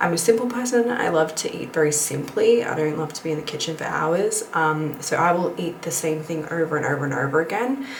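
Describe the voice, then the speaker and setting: Whispering at a fairly quick pace with hardly any pauses, a woman is heard amid noticeable background noise and audible room echo. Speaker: lifestyle vlogger. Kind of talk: casual vlog talk to camera.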